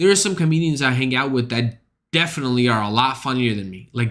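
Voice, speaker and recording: In a very clean recording with a silent background, a man talks at a medium pitch with a bright, sharp tone and an animated delivery. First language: not English. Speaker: streamer and stand-up comic. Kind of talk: casual stream chat.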